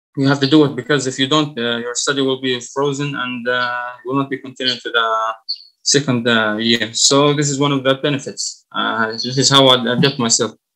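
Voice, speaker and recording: Here a man speaks with an Arabic accent. His intonation is monotone and flat. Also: medium pitch for a man, moderate pace. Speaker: college student. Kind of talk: class presentation. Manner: halting, many fillers.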